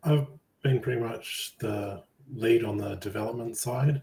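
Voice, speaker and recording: A man speaks very slowly in a dark, mellow, somewhat breathy tone, with ordinary pitch variation. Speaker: game project lead. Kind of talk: interview.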